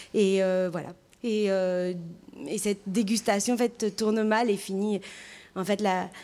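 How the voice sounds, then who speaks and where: The speech moves at a very slow pace with long, frequent pauses. The intonation is monotone and flat. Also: woman, medium pitch for a woman. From France, Gironde (Entre-deux-Mers). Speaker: actress and theatre creator. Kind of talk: radio interview. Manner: hesitant, many fillers.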